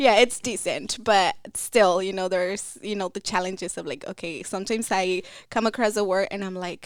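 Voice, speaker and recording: A woman with a Spanish accent at a moderate pace, hardly any pauses, and big swings in loudness, in a very clean recording with a silent background. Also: medium pitch for a woman, ordinary pitch variation. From Mexico, Michoacán. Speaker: financial coach. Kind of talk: podcast interview.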